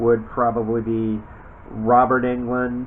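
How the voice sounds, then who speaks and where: Over noticeable background noise, a man talks at a very slow pace and medium pitch in a monotone, flat intonation. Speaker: voice actor. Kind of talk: casual talk to camera.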